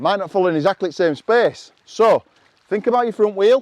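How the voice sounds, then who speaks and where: With a Yorkshire accent, a man talks at a fairly quick pace and a high pitch, with ordinary pitch variation and a dry, close sound with no echo. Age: old. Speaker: motorcycle trials coach. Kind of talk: riding tutorial.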